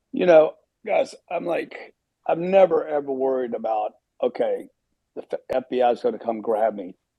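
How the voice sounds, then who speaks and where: The man's speech moves at a moderate pace. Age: 60s. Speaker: panel speaker. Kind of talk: online panel discussion. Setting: audio chat room online.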